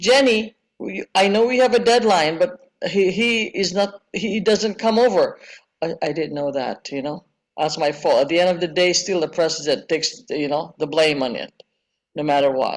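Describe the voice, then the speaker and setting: Using lively intonation, a woman speaks at a moderate pace in a fairly low pitch. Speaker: service club president. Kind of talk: group discussion at a training session. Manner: loud; emphatic, sounds angry when stressing a point.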